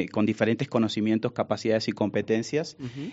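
Here is a man with an ordinary speaking voice and a medium pitch. He talks at a fairly quick pace with ordinary pitch variation. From Argentina, Buenos Aires. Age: 40s. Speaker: business executive. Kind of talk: interview.

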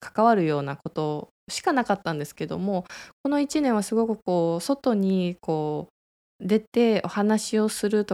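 On a very clean recording with a silent background, a woman talks at a moderate pace with lively intonation and a dark, mellow tone at medium pitch. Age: 30s. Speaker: clinic director and radio host. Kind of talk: casual solo radio talk. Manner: hesitant with fillers.

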